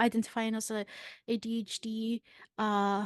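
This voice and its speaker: Fairly high in pitch, a woman's voice comes through quiet background surroundings. The sound is dry and close, with no echo. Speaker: mental health content creator. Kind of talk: casual chat.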